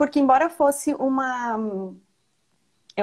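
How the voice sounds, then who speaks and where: A woman speaks with a Rio Grande do Sul accent at a fairly slow pace. Her pitch varies in an ordinary way. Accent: southern Brazilian (gaúcho), noticeable. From Rio Grande do Sul, Brazil (Marau). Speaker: nonprofit manager. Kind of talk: casual interview. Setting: live stream video call.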